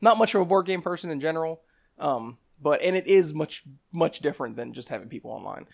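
Pitched high, a man speaks very fast with ordinary pitch variation. The recording is very clean, with a silent background. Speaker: hobby gamer guest. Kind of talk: casual chat.

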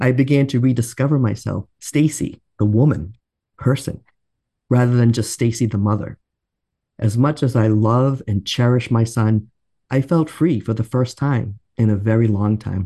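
A man's dark, mellow tone at a medium pitch, with very even loudness and a moderate pace. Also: ordinary pitch variation. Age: 50s. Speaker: podcast co-host, adult educator. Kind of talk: scripted podcast conversation.

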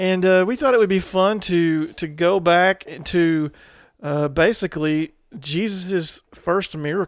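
Delivered at a fairly slow pace in a Southern US accent, the speech has ordinary pitch variation and comes on a very clean recording with a silent background. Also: man, high pitch for a man. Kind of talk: casual chat, faith discussion.

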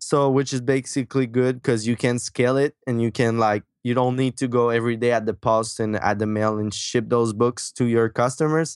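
With a Quebec accent, a man speaks in a medium pitch with monotone, flat intonation and hardly any pauses, the sound dry and close with no echo over a quiet background. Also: moderate pace, very even loudness. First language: French. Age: 20s. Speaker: marketing entrepreneur and author. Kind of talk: casual interview. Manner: halting, many fillers.

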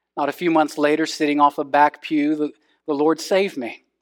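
A man with a Texan accent speaks at a moderate pace in a fairly high pitch, his intonation fairly even, on a very clean recording with a silent background and a dry, close sound with no echo. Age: 30s. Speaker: pastor. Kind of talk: sermon.

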